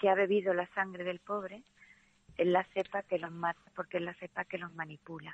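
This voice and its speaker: A woman speaks at a fairly low pitch. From Andalusia. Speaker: literature teacher. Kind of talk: casual interview about a novel.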